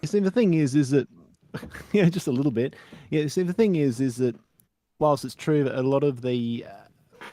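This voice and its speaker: With an Australian accent, a man speaks at a moderate pace in a fairly high pitch with a dark, mellow tone and lively intonation. Long pauses come often between his words. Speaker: retro computer enthusiast. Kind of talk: casual panel chat.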